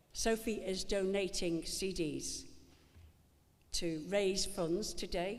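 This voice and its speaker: Heard with audible room echo, a woman talks very slowly at a medium pitch with fairly even intonation and long, frequent pauses. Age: 70s. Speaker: actress and event presenter. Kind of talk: live event hosting. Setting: stage with audience. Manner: chatty, joking ad-lib.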